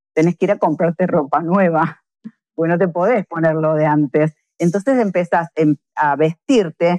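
Speaking with a plain, everyday voice, a woman talks at a moderate pace with a fairly low pitch and ordinary pitch variation, in a dry, close sound with no echo. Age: 50s. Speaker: fitness coach. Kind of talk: interview.

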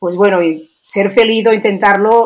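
A woman talks at a fairly slow pace in an unremarkable speaking voice. Her pitch shows ordinary variation. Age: 60s. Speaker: biologist and sports nutrition expert. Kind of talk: interview.

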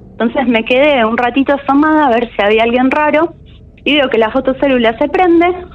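Over noticeable background noise, a woman with a Rioplatense accent speaks in a high pitch. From Argentina, Buenos Aires city. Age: 20s. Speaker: caller sharing a paranormal experience. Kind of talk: personal testimony.

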